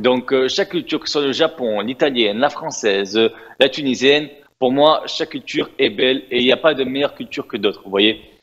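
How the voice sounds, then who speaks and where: With a medium pitch and ordinary pitch variation, this man talks fairly quickly. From Tunisia. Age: 20s. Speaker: influencer and pastry shop owner. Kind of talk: interview. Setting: TV studio. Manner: hesitant, many fillers.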